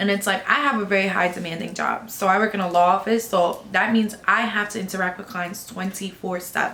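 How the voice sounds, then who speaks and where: Her pitch medium and her intonation fairly even, a woman talks at a fairly quick pace amid noticeable background noise. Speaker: law office worker. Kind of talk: casual chat.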